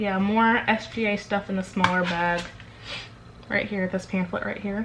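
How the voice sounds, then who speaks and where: Against noticeable background noise, a woman talks at medium pitch with ordinary pitch variation. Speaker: vlogger. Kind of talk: casual vlog. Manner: fast.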